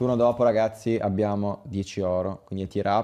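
The tone is dark and mellow. Intonation stays fairly even. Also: man. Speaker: gaming streamer. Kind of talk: live stream commentary. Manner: casual, chatty. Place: home room.

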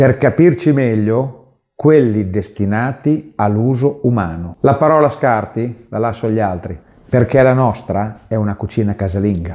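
A man's dark, mellow voice with a Bolognese accent, medium pitch, ordinary pitch variation and moderate pace, set against a quiet background. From Bologna, northern Italy; northern Italy. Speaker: pet food producer and video host; video host. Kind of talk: promotional presentation. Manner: friendly direct address.

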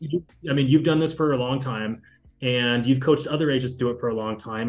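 Faint music plays in the background as a man speaks. He moves at a fairly quick pace with ordinary pitch variation. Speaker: business partner in interview. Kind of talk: interview conversation.

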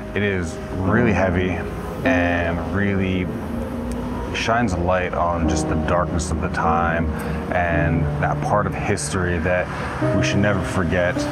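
A man speaks at a fairly slow pace, taking long, frequent pauses. Loud background noise runs behind him. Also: ordinary pitch variation. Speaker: travel vlogger. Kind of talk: casual vlog chat. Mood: serious, reflective. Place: street. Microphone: phone near.

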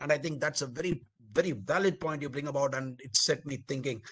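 A man with an Indian accent speaks at a fairly quick pace with lively intonation. The background is quiet. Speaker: webinar moderator, army colonel; webinar panelist. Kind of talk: panel moderation. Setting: video call. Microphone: video call.

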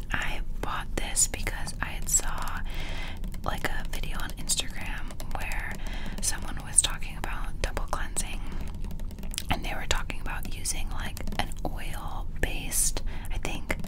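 A woman at a fairly slow pace with long, frequent pauses, over loud background noise. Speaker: ASMR creator. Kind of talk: ASMR skincare haul, casual talk to camera. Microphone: studio mic.

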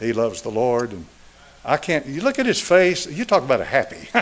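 A man talks with an Appalachian accent at a moderate pace. His pitch swings very widely. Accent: Southern US (Appalachian). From East Tennessee. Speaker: pastor. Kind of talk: sermon. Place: church. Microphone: podium.

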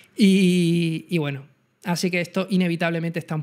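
Against a quiet background, a man with an Andalusian accent speaks at a high pitch. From Andalusia, Spain. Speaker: photography channel host. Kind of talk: live-streamed talk. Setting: live stream. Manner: fast. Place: home room. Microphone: studio mic.

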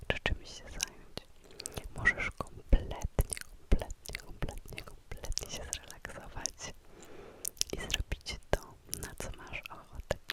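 Very slow whispering from a woman, with noticeable background noise. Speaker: ASMR creator. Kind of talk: guided visualization for sleep. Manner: close whisper; slow, calm, soothing.

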